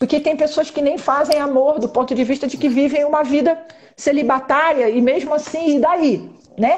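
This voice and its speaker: The woman speaks in a high voice with ordinary pitch variation. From Brazilian Northeast. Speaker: live stream host. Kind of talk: casual live chat interview. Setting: Instagram live.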